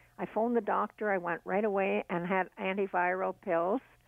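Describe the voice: A woman speaks at a moderate pace with vocal fry. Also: medium pitch for a woman, fairly even intonation, dry, close sound with no echo.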